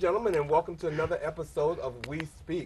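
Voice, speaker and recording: Ordinary pitch variation from a man. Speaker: talk show host. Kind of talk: talk show discussion. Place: studio.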